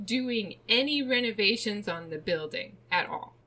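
Speaking fairly slowly, a woman has a plain, everyday voice with a fairly high pitch. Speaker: true crime podcast host. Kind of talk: casual chat, storytelling of a true crime case.

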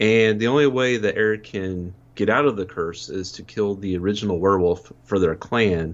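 Speaking at a moderate pace with hardly any pauses, a man uses an unremarkable speaking voice, fairly low in pitch with ordinary pitch variation. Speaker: returning podcast guest, horror movie fan. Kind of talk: casual chat.

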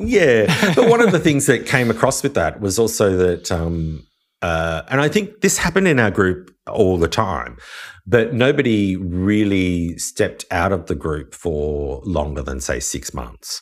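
A man with an Australian accent, fairly low pitch and very wide pitch swings, at a fairly slow pace, on a very clean recording with a silent background. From Australia, Wollongong. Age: 40s. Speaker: chef and podcaster. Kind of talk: casual interview chat. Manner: halting, many fillers.

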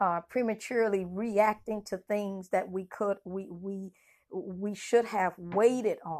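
In a very clean recording with a silent background, a woman of medium pitch talks at a very slow pace with ordinary pitch variation. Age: 40s. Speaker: minister and podcast host. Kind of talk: sermon. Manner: halting.

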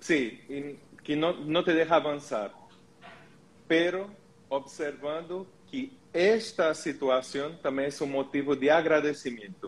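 A man with a Portuguese accent, fairly high in pitch with ordinary pitch variation, at a very slow pace with long, frequent pauses. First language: Portuguese (speaking Spanish). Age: 40s. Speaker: holistic therapist. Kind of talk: live stream panel discussion.

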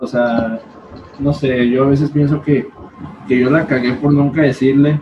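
A man with a Mexican accent speaks fairly slowly in a fairly high pitch and a monotone, flat intonation, with noticeable background noise behind him. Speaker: podcast co-host. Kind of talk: casual chat.

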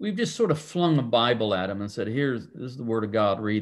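Fairly quick, medium-pitched male speech in a plain, everyday voice, its pitch varying in an ordinary way. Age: 60s. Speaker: pastor. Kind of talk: casual chat.

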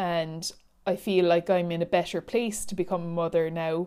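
A woman speaks fairly slowly in a fairly low, dark and mellow voice with an Irish accent, her intonation monotone and flat, on a very clean recording with a silent background. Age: 30s. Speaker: podcast host, life coach and teacher. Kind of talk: solo personal podcast monologue.

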